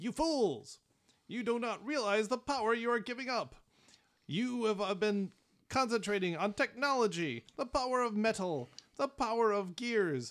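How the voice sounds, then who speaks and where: In a put-on character voice pitched fairly high, the speaker goes at a moderate pace on a very clean recording with a silent background. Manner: menacing, ranting.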